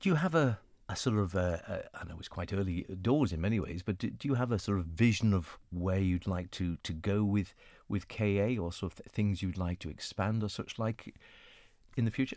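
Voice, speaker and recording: Recorded very cleanly against a silent background, a man with a normal speaking voice talks at a fairly quick pace, his fairly low pitch varying in an ordinary way. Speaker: radio host. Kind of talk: radio interview.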